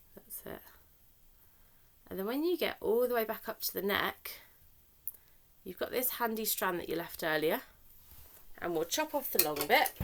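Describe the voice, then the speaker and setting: At a moderate pace, a woman with a fairly high pitch and vocal fry swings very widely in pitch and greatly in loudness, leaving long, frequent pauses. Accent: British. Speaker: therapeutic crafts facilitator. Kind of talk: tutorial.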